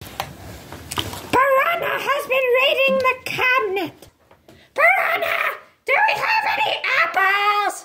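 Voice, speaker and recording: Extremely high in pitch and fairly slow in delivery, this voice is a cartoonish character voice. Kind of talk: comedic puppet show dialogue. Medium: puppet.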